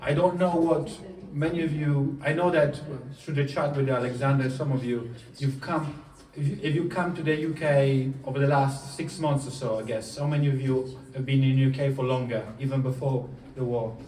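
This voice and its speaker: A man with an Italian accent speaks at a moderate pace in a fairly high voice, his intonation fairly even, with audible room echo and noticeable background noise. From southern Italy, Puglia. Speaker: coach. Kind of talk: motivational talk. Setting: stage with audience.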